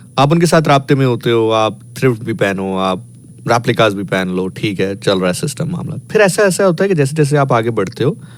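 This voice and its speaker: A man's pitch swings very widely while noticeable background noise runs underneath. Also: medium pitch for a man, moderate pace, hardly any pauses. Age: 30s. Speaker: radio host. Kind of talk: casual chat.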